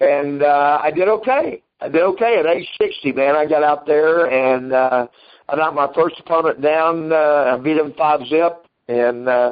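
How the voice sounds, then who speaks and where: A man at a moderate pace, with very even loudness and ordinary pitch variation. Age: 60s. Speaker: karate grandmaster and school owner. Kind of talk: interview. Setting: remote interview, from his office.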